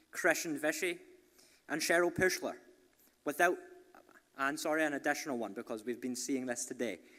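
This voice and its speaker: A man with a Scottish accent talks at a fairly quick pace in a bright, sharp, fairly high voice, broken by long, frequent pauses. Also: ordinary pitch variation. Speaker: entrepreneurship program leader. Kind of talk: event speech. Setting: stage with audience.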